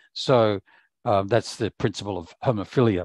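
In an ordinary speaking voice, a man talks at a moderate pace with a fairly low pitch and fairly even intonation, the sound dry with no echo and the background quiet. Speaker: professor. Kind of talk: conference keynote talk. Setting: video call. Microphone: video call.

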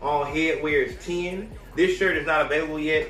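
Audible room echo and light background noise surround a man talking fairly quickly at a fairly high pitch. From Alabama. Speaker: podcast host. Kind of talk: angry rant. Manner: loud, fired-up, profane; repetitive, emphatic.

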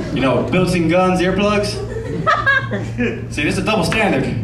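This is a man speaking. Noticeable background noise can be heard. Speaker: stand-up comedian. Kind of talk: stand-up comedy set. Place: stage. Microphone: pa.

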